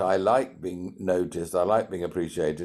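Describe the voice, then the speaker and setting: In a very clean recording with a silent background, a man with a British accent speaks at a moderate pace. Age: 60s. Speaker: entrepreneur and CEO mentor. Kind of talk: podcast interview.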